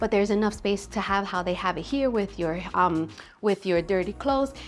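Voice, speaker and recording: Music plays in the background as a woman speaks with an American accent. Her pitch is medium, with ordinary pitch variation. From Staten Island, New York. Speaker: real estate agent. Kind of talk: home tour walkthrough. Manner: animated.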